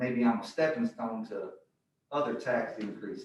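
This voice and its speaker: The room echo is audible. Within it, a man's intonation is lively. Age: 60s. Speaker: member of the public giving comment. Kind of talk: public comment at a board meeting. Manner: halting, many uh fillers.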